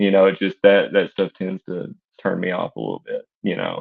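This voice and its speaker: Speaking with an East Tennessee accent, a man uses a fairly low pitch at a moderate pace. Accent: East Tennessee Southern US. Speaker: fiction writer. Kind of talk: podcast interview.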